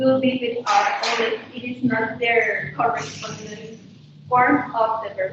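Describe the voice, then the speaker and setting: A loud woman at a very slow pace, with noticeable background noise and audible room echo. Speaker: English teacher. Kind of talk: lesson.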